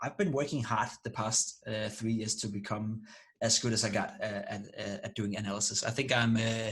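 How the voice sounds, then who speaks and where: A man at medium pitch and moderate pace, his intonation monotone and flat. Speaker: esports analyst and streamer. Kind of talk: interview. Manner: halting with many repetitions.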